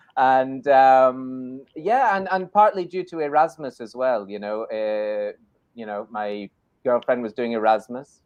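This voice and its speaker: Big swings in loudness mark a man's fairly slow speech in a Scottish accent. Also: medium pitch for a man, lively intonation. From Scotland. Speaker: English teacher in Spain. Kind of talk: live online show chat. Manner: animated.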